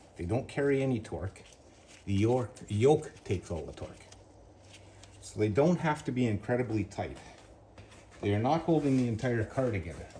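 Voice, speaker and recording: A medium-pitched man with lively intonation at a moderate pace. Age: 60s. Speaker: car restorer / garage youtuber. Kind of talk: work-along tutorial. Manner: casual, talking to himself while working.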